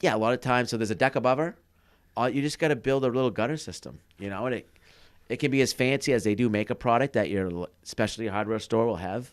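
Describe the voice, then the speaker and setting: A man with a strong Maine accent at a very fast pace, on a very clean recording with a silent background. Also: medium pitch for a man, ordinary pitch variation. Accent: thick Maine. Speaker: podcast co-host, cabin builder. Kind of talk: casual chat. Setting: studio.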